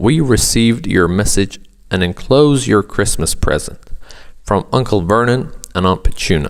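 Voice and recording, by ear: The speaker is reading aloud in a natural voice.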